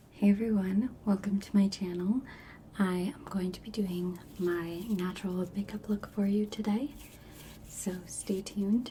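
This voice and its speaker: Over noticeable background noise, a soft-spoken woman talks at a fairly slow pace with a medium pitch and fairly even intonation. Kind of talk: ASMR makeup tutorial, casual talk to camera.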